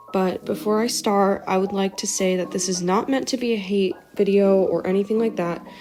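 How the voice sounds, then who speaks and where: A woman with fairly even intonation, music in the background. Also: medium pitch for a woman, moderate pace. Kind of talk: video essay narration. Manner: improvised, casual.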